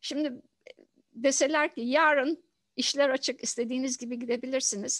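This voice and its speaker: Against a quiet background, a woman talks at a moderate pace in a high voice with fairly even intonation. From Turkey, Izmit; Turkey. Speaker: professor of environmental engineering; professor, interviewee. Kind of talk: interview. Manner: halting, many fillers. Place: home room. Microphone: headset.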